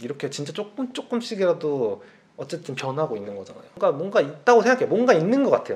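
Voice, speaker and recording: The voice races at a very fast pace, with very wide pitch swings and big swings in loudness. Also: man, high pitch for a man. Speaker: channel host. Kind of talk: casual conversation, advice to viewers. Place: home room. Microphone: camera far.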